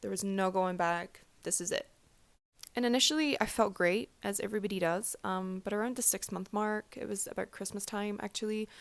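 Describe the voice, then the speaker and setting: A woman talks fairly quickly in a medium pitch, varying it in an ordinary way. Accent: Scottish. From Scotland. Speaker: vlogger, aspiring doctor. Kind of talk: personal testimony vlog. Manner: casual, many fillers.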